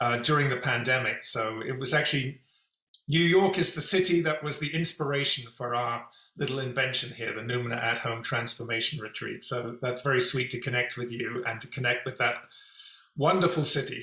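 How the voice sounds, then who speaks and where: A man in a London accent at a fairly quick pace. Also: medium pitch for a man, ordinary pitch variation. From England, London. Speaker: executive coach and company founder. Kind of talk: interview.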